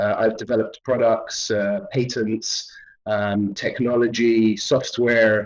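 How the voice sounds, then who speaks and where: In a British accent, a man speaks very slowly at a medium pitch with fairly even intonation. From London, England. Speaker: artist and filmmaker. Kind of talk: interview. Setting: virtual reality studio. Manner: hesitant, many fillers.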